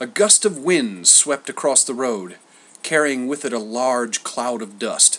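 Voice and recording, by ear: With lively intonation, a speaker reads aloud in a natural voice.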